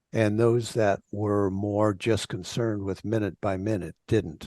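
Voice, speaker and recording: A man with a fairly low voice and a dark, mellow tone talks at a fairly slow pace against a quiet background. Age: 70s. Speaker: life coach. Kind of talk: podcast interview.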